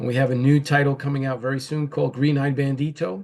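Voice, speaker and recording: This man speaks with a New York accent at a fairly high pitch. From New York, the Bronx. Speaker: comic book writer and publisher, former boxer. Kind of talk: interview. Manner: hesitant, many fillers.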